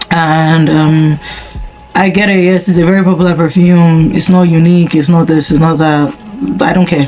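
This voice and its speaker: A woman's fairly low-pitched voice with fairly even intonation, music playing in the background. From Nigeria. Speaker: YouTuber. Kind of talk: casual chat.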